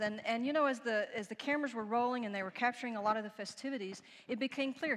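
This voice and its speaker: Lively intonation in a Texan accent. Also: woman. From Texas. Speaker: preacher. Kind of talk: sermon.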